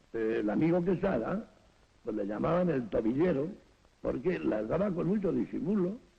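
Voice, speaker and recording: A man's fairly high voice with vocal fry, a moderate pace and very wide pitch swings. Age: 70s. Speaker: former stadium usher. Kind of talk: interview testimony.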